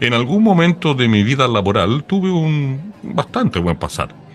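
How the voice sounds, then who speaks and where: A man's voice with very wide pitch swings, music playing in the background. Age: 60s. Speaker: podcast host. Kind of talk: casual chat.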